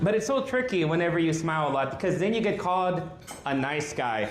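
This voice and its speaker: In an American accent, a man talks at a fairly quick pace with a high pitch and lively intonation, over noticeable background noise and audible room echo. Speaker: stand-up comedian. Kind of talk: stand-up. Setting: stage with audience.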